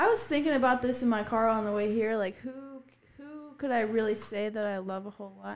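At a very fast pace, a woman talks in a fairly high pitch with big swings in loudness. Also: ordinary pitch variation. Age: 20s. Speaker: adult film performer. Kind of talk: casual chat. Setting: studio.

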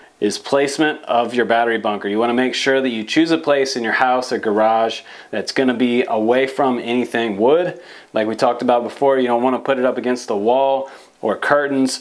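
The intonation stays fairly even. The pace is fairly quick. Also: man. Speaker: presenter. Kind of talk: tutorial. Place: studio.

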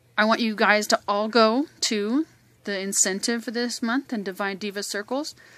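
The sound is dry, with no echo, as a woman talks. Her pace is moderate and her pitch variation ordinary. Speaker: host of a sales group announcing winners. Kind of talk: casual announcement to group members. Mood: cheerful, congratulating. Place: home room.

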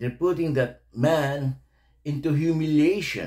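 A man speaks at a very slow pace, somewhat breathy. The background is quiet. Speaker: reaction video host. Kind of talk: commentary. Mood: indignant, disapproving. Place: home room. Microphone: studio mic.

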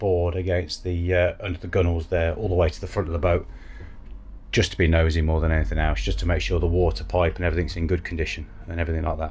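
A man talks at a very fast pace with a very deep, low pitch. His intonation stays fairly even, and light background noise sits underneath. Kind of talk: casual vlog chat. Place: boat. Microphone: phone near.

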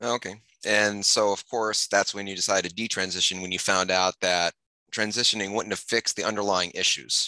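A man's low-pitched voice, bright and sharp in tone, at a moderate pace. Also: fairly even intonation, dry, close sound with no echo.

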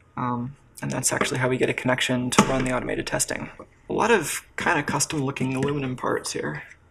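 Background noise is noticeable throughout. The talking proceeds at a moderate pace. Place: workshop.

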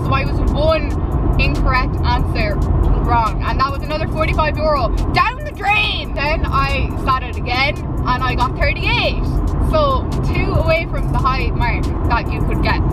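A woman at a moderate pace, dry sound with no echo, loud background noise behind her. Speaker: vlogger. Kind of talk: casual vlog chat. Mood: chatty, humorous storytelling. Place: car. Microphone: phone near.

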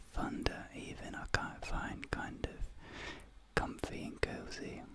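Whispered words come at a very slow pace. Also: man. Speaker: ASMR creator. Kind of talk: soft-spoken ASMR personal attention. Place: home room. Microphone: studio mic.

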